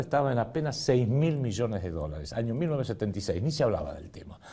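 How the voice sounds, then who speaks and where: Swinging very widely in pitch, a man speaks with a dark, mellow tone. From Argentina. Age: 60s. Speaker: political economy commentator. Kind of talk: lecture with slides.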